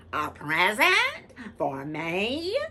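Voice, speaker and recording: A female-sounding put-on character voice at medium pitch. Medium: read story.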